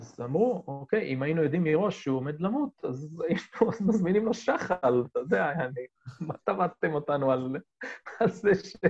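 At a moderate pace, a man speaks with a high pitch and very wide pitch swings. The sound is dry and close, with no echo. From Israel, Golan Heights. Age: 40s. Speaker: ski business owner and skier. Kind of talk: casual interview.

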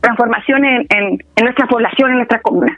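A woman with a high-pitched voice and fairly even intonation talks against noticeable background noise. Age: 30s. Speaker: political candidate and community organizer. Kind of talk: interview.

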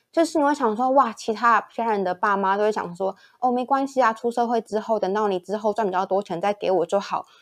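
This woman talks very fast at a fairly high pitch. Her pitch moves in an ordinary way. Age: 20s. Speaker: guest. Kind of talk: casual chat.

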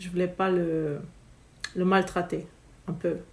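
Her voice sits at a medium pitch. The woman talks rather slowly. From Romania. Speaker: spiritual business coach. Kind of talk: casual interview.

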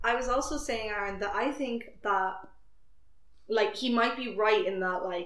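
Speech with ordinary pitch variation comes through over noticeable background noise. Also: woman. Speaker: podcast host. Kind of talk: casual chat.

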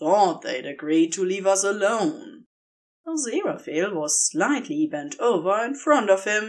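Plain reading aloud, the surroundings quiet.

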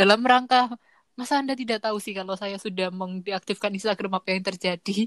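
A woman with a plain, everyday voice talks at a medium pitch and a fairly quick pace with fairly even intonation, the sound dry and close with no echo. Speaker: podcaster guest. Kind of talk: casual chat.

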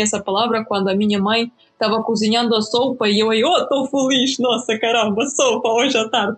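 At a moderate pace, a woman talks in a somewhat breathy, fairly high voice with fairly even intonation. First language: Ukrainian or Russian (speaking Portuguese). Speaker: YouTuber on Slavic culture. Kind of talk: casual chat.

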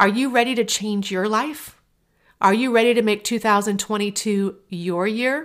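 A woman's normal speaking voice at medium pitch and moderate pace, on a very clean recording with a silent background. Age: 40s. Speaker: podcast host and life coach. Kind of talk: motivational monologue.

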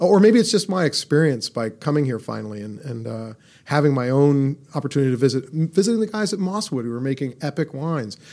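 A man with a Californian accent and a dark, mellow tone, very fast with hardly any pauses, very wide pitch swings and big swings in loudness, on a very clean recording with a silent background. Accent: Californian American. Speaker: inventor and medical technology entrepreneur. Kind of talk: interview. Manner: animated.

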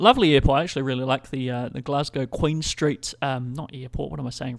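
At a fairly quick pace, a man in a New Zealand accent speaks with a fairly high pitch and ordinary pitch variation. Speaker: podcast host. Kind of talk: casual chat. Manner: rambling, informal.

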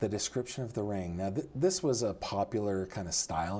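Here a man speaks very fast. His tone is dark and mellow. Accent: American. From California, Sacramento Valley. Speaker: true crime podcast co-host. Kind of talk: casual chat.

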